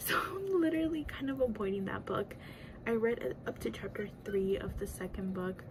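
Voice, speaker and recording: Noticeable background noise sits behind a woman speaking at a moderate pace. Her medium-pitched voice swings very widely in pitch. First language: Spanish. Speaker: book YouTuber. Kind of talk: casual chat. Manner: rambling, lots of fillers.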